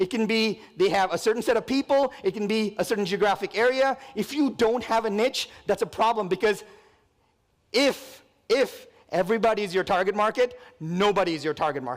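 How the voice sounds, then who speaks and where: This man has a high pitch and an energetic tone. He speaks at a fairly quick pace with ordinary pitch variation. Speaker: real estate company president. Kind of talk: conference talk. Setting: stage with audience. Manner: fast.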